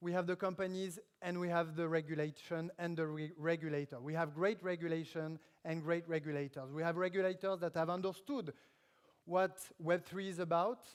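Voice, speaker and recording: The speaker talks at a fairly quick pace with a French accent. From France. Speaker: government official speaking at tech conference. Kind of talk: conference keynote speech. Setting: stage at live event in Paris. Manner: halting with frequent fillers.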